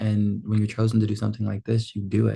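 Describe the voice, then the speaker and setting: A man speaks in a fairly low, somewhat breathy voice with a dark, mellow tone and flat, monotone intonation over a quiet background. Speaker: film school graduate vlogger. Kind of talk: casual vlog monologue.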